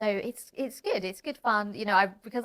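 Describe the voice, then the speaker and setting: Very fast speech from a woman, her pitch varying in an ordinary way. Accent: British. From Britain. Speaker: comedian and podcast host. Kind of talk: casual chat.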